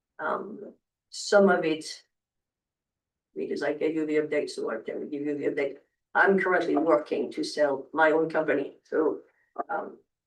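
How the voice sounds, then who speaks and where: The speaker has a non-native accent. The pace is moderate, with long, frequent pauses. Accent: noticeable non-native English. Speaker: hotel developer and investor. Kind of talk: public meeting presentation. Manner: halting, many fillers.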